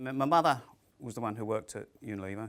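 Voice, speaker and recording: Very fast and fairly low in pitch, a man's voice rushes along. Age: 60s. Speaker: careers personal advisor. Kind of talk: interview monologue. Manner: hesitant with fillers.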